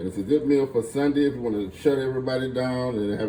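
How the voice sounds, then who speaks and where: With a Louisiana accent, a man speaks at a fairly quick pace with ordinary pitch variation over noticeable background noise. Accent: Louisiana Southern US. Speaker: home cook, cooking channel host. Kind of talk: cooking tutorial. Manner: casual, conversational.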